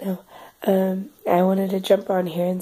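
Noticeable background noise is heard behind a woman with an American accent. She speaks at a medium pitch with monotone, flat intonation. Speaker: vlogger. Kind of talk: casual vlog talk. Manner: hesitant, many fillers.

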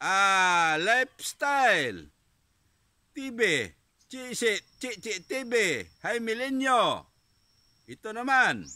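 On a very clean recording with a silent background, a man with an extremely high pitch and a bright, sharp tone speaks in a raised, projected voice at a very slow pace, with lively intonation and long, frequent pauses. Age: 40s. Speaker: vlogger. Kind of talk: casual vlog.

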